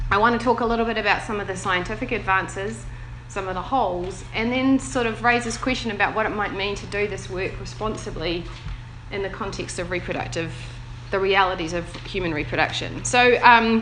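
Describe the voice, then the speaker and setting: A woman with a New Zealand accent speaks at a fairly quick pace and medium pitch with ordinary pitch variation, over noticeable background noise and audible room echo. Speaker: bioethics researcher. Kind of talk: panel talk.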